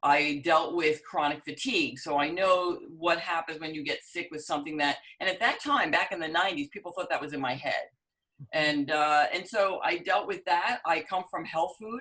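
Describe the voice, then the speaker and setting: Speaking with a New York accent, a woman uses a fairly low pitch, ordinary pitch variation, and a moderate pace. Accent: New York area American. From New Jersey, US East Coast. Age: 60s. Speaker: business owner and dating coach. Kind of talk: interview.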